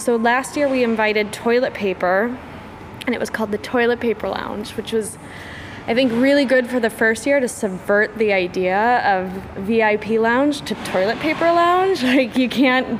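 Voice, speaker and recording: Noticeable background noise sits behind a woman speaking at a moderate pace. Her pitch is fairly high and her intonation lively. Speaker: art fair programming director. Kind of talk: interview. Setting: art fair tent.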